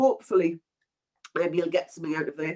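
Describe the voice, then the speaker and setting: Speaking at a medium pitch with ordinary pitch variation, a woman talks in a Geordie accent. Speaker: webinar presenter, project management consultant. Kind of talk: webinar presentation. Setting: online webinar. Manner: casual, filler-heavy.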